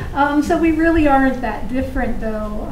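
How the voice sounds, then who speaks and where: A woman speaks with fairly even intonation over noticeable background noise, with audible room echo. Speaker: dentist and dental program director. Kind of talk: conference talk. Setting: conference room with audience. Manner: hesitant, many fillers.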